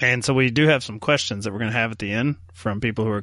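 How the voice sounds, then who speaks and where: A man with a normal speaking voice, medium pitch and ordinary pitch variation, over a quiet background. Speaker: podcast host. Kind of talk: casual chat about films.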